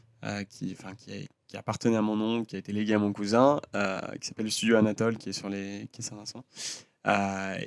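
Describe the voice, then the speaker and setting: In a very clean recording with a silent background and a dry, close sound with no echo, a man with a fairly low pitch speaks at a moderate pace in monotone, flat intonation. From France (Lyon), early childhood in the US. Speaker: designer and singer. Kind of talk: casual chat. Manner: hesitant, many fillers.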